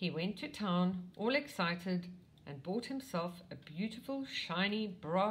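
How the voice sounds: What comes through is a natural reading voice.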